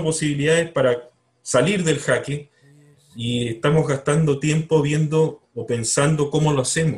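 A man with a somewhat breathy, fairly high voice talks at a moderate pace. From Chile, Punta Arenas. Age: 50s. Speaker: writer. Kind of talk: interview. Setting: video call.

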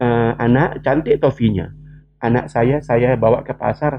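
Music plays in the background. A man speaks at a medium pitch and a fairly slow pace. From West Kalimantan, Indonesia (Sambas regency). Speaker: education expert. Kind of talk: interview.

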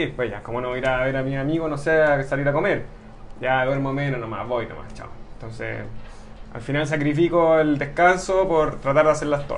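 Music plays in the background as a man talks at a very fast pace and a fairly high pitch with ordinary pitch variation, in audible room echo. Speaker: amateur triathlete. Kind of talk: interview.

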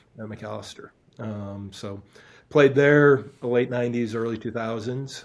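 With an American accent, a man talks at a fairly quick pace and medium pitch. His intonation is monotone and flat. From Wisconsin (Stevens Point). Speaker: college soccer coach. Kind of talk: interview.

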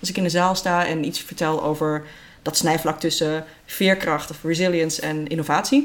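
Speaking at a moderate pace, a woman keeps a fairly low pitch and fairly even intonation. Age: 40s. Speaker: creativity trainer and entrepreneur. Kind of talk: interview. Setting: at a kitchen table in a private home. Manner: halting, many fillers.

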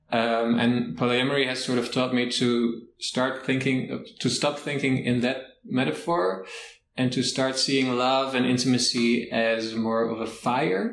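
With a Dutch accent, a man speaks at a fairly slow pace and medium pitch, his intonation fairly even and his loudness very even. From Netherlands. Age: 20s. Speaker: podcast guest. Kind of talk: interview.

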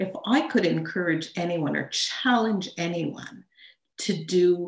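With a Montreal accent, a woman talks at a medium pitch with ordinary pitch variation. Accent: Canadian (Montreal) English. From Montreal, Canada. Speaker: ghostwriter and storytelling coach. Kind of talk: personal story in interview.

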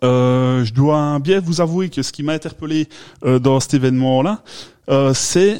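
Pitched fairly high, a man talks at a fairly slow pace with ordinary pitch variation. His tone is dark and mellow. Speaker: beer podcast host. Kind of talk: casual chat.

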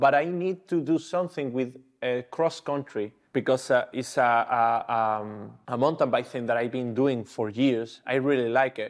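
A man with a Spanish accent speaks at a medium pitch and moderate pace, with ordinary pitch variation. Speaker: travel and action sports photographer. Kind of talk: interview. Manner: halting.

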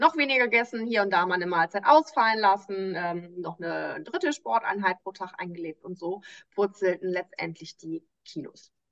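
With an ordinary speaking voice, a woman of medium pitch talks at a moderate pace, her lively intonation and big swings in loudness heard in a dry, close sound with no echo. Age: 30s. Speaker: nutrition coach. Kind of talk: interview.

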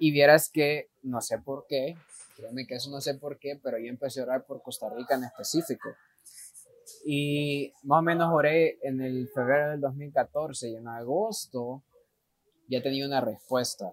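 A man's fairly high, ordinary speaking voice at a fairly slow pace, with fairly even intonation and big swings in loudness. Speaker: missionary. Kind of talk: interview.

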